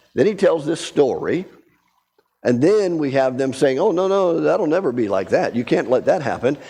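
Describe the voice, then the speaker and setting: A man's fairly high voice with a dark, mellow tone, vocal fry, lively intonation and a moderate pace. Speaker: Bible study teacher. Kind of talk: Bible study lesson.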